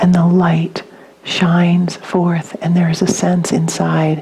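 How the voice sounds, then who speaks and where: Over noticeable background noise, a woman talks very slowly in a flat, monotone delivery. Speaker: spiritual teacher. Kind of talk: dharma talk.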